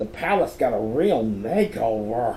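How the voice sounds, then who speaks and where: Over clear background noise, a man at medium pitch performs a put-on character voice. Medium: read story.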